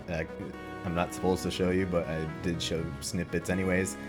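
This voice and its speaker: With music behind him, a man delivers his words at a moderate pace. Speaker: mod developer. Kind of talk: casual talk to camera. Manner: flat, low-energy.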